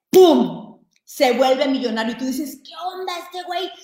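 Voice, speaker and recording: With audible room echo around her, a woman speaks in a high voice with lively intonation. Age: 40s. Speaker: business coach. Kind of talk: live stream talk.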